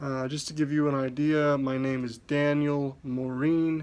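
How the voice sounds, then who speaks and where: A man with an American accent mumbles at a fairly high pitch. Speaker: podcaster and musician. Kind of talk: self-introduction monologue. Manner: mumbling.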